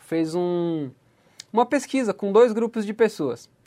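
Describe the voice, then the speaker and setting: The man keeps a moderate pace, his pitch varying in an ordinary way. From Santa Catarina, Brazil (far west, São Miguel do Oeste). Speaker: podcast host. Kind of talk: motivational talk.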